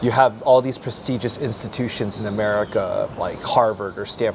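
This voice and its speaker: There is noticeable background noise throughout. A man speaks over it at a fairly quick pace. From US West Coast, Palo Alto. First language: Mandarin Chinese. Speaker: English teacher. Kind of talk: interview. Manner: casual.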